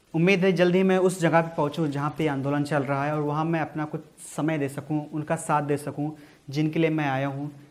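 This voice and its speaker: A man's fairly high voice in a monotone, flat delivery. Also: moderate pace. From India, Uttar Pradesh. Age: 20s. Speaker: poet. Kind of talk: casual talk to camera.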